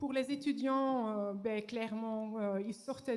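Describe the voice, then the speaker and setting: At a very slow pace, a woman speaks with fairly even intonation and a slight Flemish accent. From Flanders, Belgium. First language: Dutch (Flemish) (speaking French). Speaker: professor. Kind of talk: conference talk. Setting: stage with audience. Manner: halting, many hesitations.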